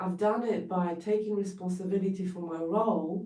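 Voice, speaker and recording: A woman with a Polish accent, a dark, mellow tone, medium pitch, and audible room echo. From Poland. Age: 40s. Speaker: therapist. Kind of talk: livestream talk.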